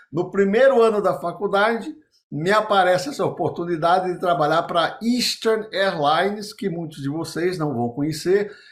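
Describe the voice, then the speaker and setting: Ordinary pitch variation and a moderate pace in a man's high voice. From Brazilian Northeast. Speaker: business consultant and former executive. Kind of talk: interview storytelling.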